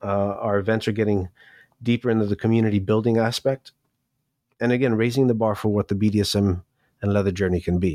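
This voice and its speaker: A man with an American accent speaks very fast at a fairly low pitch, with very even loudness, fairly even intonation, long, frequent pauses and a dry, close sound with no echo. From New York City. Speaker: professional dominant and event host. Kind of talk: interview answers.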